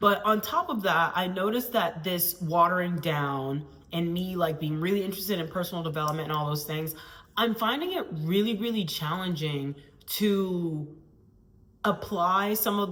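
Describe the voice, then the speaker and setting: A woman's fairly low-pitched voice with audible room echo and noticeable background noise. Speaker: PhD student scientist and vlogger. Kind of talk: casual vlog monologue. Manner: loud, bold.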